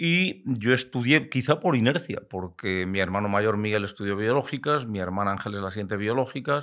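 Fairly low in pitch, a man talks at a moderate pace with lively intonation and hardly any pauses. The background is quiet. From Spain, Valladolid (Castile); Castile, Spain. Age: 60s. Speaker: biologist and hunting media veteran; podcast guest. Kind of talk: casual interview chat. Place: studio. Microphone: studio mic.

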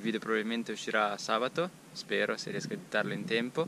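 Against light background noise, a man talks at a fairly quick pace with lively intonation, the sound dry with no echo. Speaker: mountain bike vlogger. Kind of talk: casual vlog chat. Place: forest. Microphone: phone near.

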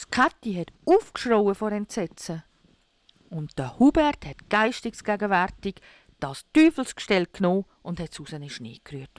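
With a Swiss German accent, a woman at a medium pitch talks at a fairly slow pace with very wide pitch swings, in a very clean recording with a silent background and a dry, close sound with no echo. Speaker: storyteller. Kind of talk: fairy tale reading.

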